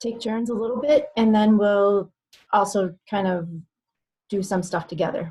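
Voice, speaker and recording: A woman's somewhat breathy voice with an American accent, medium in pitch, dark and mellow in tone, with ordinary pitch variation. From South Dakota, US Midwest. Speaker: business coach. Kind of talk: webinar presentation.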